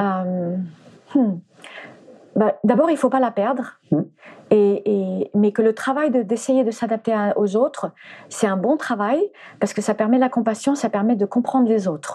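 A woman with a dark, mellow tone and a somewhat breathy, fairly high voice speaks fairly slowly, with long, frequent pauses and ordinary pitch variation. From France, arrived from the US at age 4. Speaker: animal communicator and former flamenco dancer. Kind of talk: interview. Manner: halting, many repetitions.

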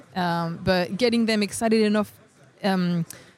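Ordinary pitch variation, with music in the background. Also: woman. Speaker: software developer advocate. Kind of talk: interview. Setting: tech conference.

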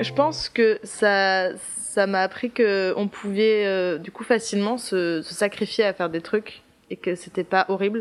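A woman with a plain, everyday voice speaks at a medium pitch and a fairly slow pace. Her intonation is fairly even, but her loudness swings widely. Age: 20s. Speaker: theatre student. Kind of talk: casual interview. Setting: apartment with windows open.

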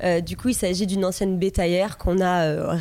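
In a dark, mellow tone, a woman talks fairly quickly at a medium pitch with flat, monotone intonation. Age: 30s. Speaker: plant seller, former nurse. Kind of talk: casual chat.

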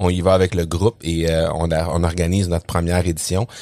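In a Quebec accent, a man speaks at a fairly slow pace with a very deep, low voice on a very clean recording with a silent background. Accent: Québécois. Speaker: podcasting consultant and trainer. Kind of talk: interview. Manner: hesitant, many fillers.

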